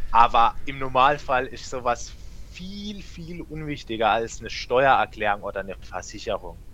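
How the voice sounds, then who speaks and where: With big swings in loudness, a man's speech moves at a moderate speed. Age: 20s. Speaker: tax official and young party politician. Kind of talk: casual chat. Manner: halting, frequent fillers.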